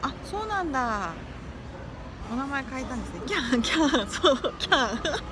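Against noticeable background noise, a woman with a high pitch speaks at a moderate pace in an animated tone, her pitch swinging very widely. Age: 40s. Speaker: livestreamer and course instructor; live streamer giving life advice. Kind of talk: casual livestream chat. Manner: animated, frequent laughter. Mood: friendly, cheerful. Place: home room. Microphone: phone near.

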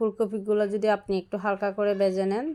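Her dark, mellow tone stays monotone and flat as the woman speaks. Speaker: cooking YouTuber. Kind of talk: cooking tutorial. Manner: casual, chatty.

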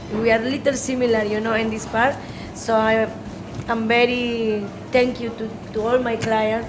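A woman's fairly high voice in a flat monotone at a moderate pace, with long, frequent pauses, audible room echo and noticeable background noise. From northern Peru. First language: Spanish. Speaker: restaurant owner and chef. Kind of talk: cooking demonstration.

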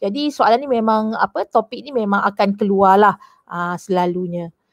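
At a moderate pace, a woman speaks at a medium pitch against a quiet background, the sound dry with no echo. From Malaysia. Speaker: secondary school teacher. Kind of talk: online class lesson. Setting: online video class. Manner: code-switching Malay and English. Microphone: headset.

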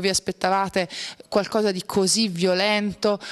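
A woman's normal speaking voice at medium pitch and moderate pace, over a quiet background. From Italy. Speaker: TV presenter. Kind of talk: TV interview. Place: studio. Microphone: handheld.

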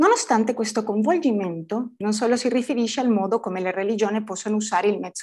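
Against a quiet background, a woman with a non-native accent speaks at a fairly high pitch with lively intonation. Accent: non-native Italian. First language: Spanish (speaking Italian). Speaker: academic conference speaker; conference speaker. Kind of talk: conference talk. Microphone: webcam.

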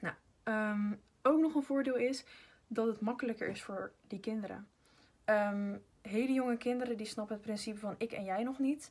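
A woman with a fairly high pitch and a slightly husky edge talks at a moderate pace. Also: ordinary pitch variation.

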